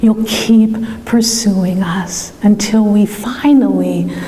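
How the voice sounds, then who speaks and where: A woman speaks with a fairly high pitch. There is noticeable background noise. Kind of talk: prayer.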